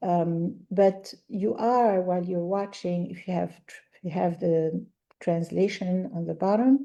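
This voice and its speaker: A woman speaks with an Arabic accent. Her voice sits at a medium pitch and has a dark, mellow tone. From Algeria. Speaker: language teacher. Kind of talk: podcast interview.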